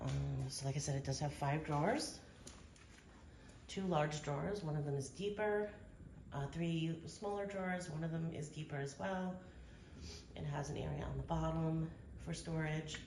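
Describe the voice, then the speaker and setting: A woman talks at a moderate pace, with long, frequent pauses. Audible room echo and noticeable background noise surround her. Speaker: vlogger. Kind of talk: tutorial. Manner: hesitant, many fillers.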